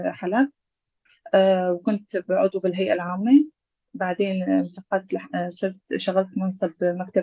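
This woman's voice has a medium pitch and a dry, close sound with no echo. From Syria, Aleppo. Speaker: former local council head. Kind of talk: interview. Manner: halting.

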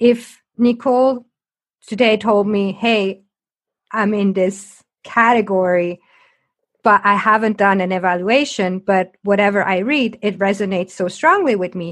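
Nothing much can be heard behind the voice. Delivery is on the slow side. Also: woman, medium pitch for a woman. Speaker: podcast host and coach. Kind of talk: interview conversation; scripted intro. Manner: loud, bubbly.

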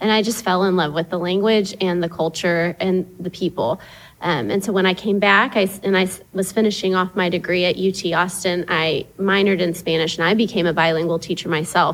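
Talking at a fairly quick pace with an American accent, a woman uses a normal speaking voice of medium pitch, her loudness very even and her intonation fairly even. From East Texas (Tyler). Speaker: parent. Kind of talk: casual chat.

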